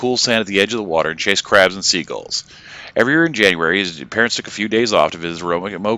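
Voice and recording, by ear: In a natural voice, the speaker reads the text aloud.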